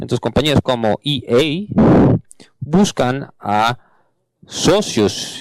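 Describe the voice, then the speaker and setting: A man with an English accent is recorded with a dry, close sound and no echo. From Canada. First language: English (speaking Spanish). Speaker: panel moderator, game industry manager. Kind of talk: conference panel introduction. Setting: stage with audience.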